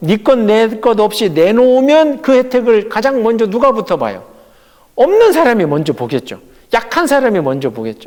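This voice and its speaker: A man speaks in an animated tone at a moderate pace. His high voice makes very wide pitch swings. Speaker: pastor. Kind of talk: Bible study lecture.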